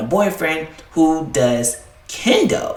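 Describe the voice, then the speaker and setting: The speaker has a Southern US accent. Noticeable background noise runs underneath. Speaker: anime YouTuber. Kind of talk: casual video commentary. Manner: casual, filler-heavy.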